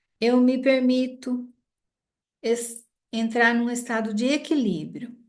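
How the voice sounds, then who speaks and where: A woman speaks at a very slow pace, her pitch high and her intonation fairly even. Audible echo fills the room. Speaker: group therapist. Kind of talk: guided EFT tapping session.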